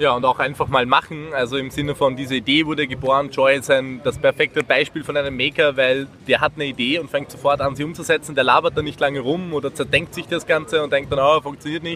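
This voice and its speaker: A man's fairly high voice in an Austrian accent, very fast with hardly any pauses, monotone and flat, over noticeable background noise. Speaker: volunteer maker project organiser. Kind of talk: interview at a trade fair. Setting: trade fair floor.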